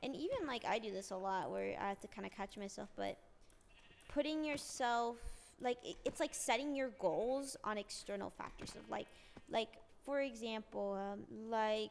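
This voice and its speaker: Fairly slow and broken by long, frequent pauses, a woman's speech sits at a fairly high pitch. Her pitch variation is ordinary. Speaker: streamer. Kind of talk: casual chat.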